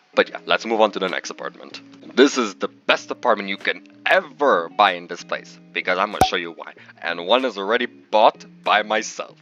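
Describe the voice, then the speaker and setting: With music behind him, a man talks in an animated tone at a fairly quick pace, his fairly low voice showing ordinary pitch variation and big swings in loudness in a dry, close sound with no echo. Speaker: gaming video creator. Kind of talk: game tour walkthrough. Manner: fast; casual, animated.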